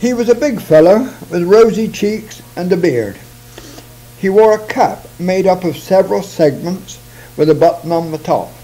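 With lively intonation, a man speaks at a high pitch in a dark, mellow tone. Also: moderate pace.

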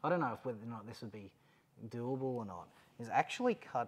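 In an Australian accent, a man speaks at a medium pitch with ordinary pitch variation. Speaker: overlanding vehicle YouTuber. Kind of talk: product install video, casual chat. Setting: mechanic's workshop. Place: garage. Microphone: lapel.

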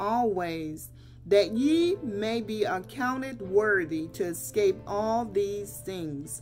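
The speech moves at a very slow pace. Faint music plays in the background. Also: woman. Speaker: lay preacher. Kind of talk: sermon. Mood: earnest, exhorting. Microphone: webcam.

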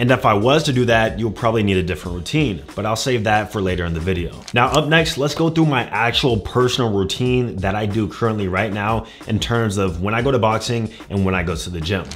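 A man with a fairly low voice talks at a fairly quick pace with hardly any pauses, over faint background music. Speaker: fitness YouTuber. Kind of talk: casual vlog chat. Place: home room.

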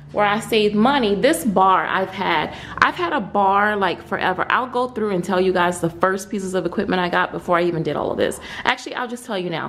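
The woman talks fairly quickly, her pitch moving in an ordinary way. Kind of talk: casual vlog chat. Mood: excited, happy. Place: garage. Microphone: phone near.

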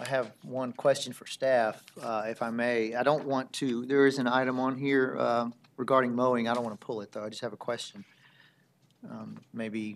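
Flat, monotone delivery at a moderate pace over light background noise. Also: man. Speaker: council meeting chair. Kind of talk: meeting chairing, formal remarks. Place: hall. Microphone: podium.

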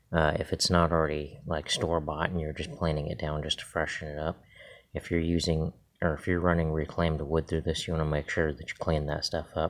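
Over a quiet background, a man with a very deep, low pitch speaks at a fairly quick pace in a monotone, flat intonation. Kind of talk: tutorial. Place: garage. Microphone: phone near.

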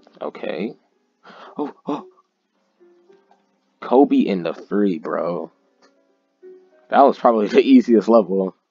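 With music in the background, a man speaks very slowly, the sound dry and close with no echo. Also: long, frequent pauses. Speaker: gaming YouTuber. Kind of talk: casual gameplay commentary.

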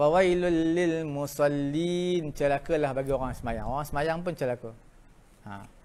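Using a plain, everyday voice, a man speaks at a fairly slow pace, fairly high in pitch, with ordinary pitch variation. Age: 60s. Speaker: religious teacher. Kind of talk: lecture. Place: classroom.

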